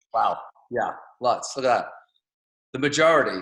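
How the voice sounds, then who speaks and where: Speaking with an English accent, a man uses a bright, sharp tone, a fairly quick pace and ordinary pitch variation. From England. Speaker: network marketing speaker. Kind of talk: motivational talk on video call. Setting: video call.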